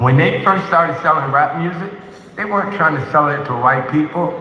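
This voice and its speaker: Amid noticeable background noise and audible room echo, a man with an American accent speaks at a fairly high pitch with ordinary pitch variation. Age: 70s. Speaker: film producer. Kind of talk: panel discussion.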